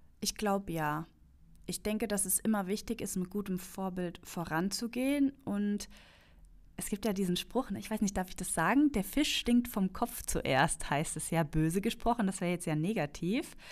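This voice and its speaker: Speaking at a moderate pace, a woman has a normal speaking voice with a medium pitch. The recording is very clean, with a silent background. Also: ordinary pitch variation. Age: 30s. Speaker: customer experience manager. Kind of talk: casual chat.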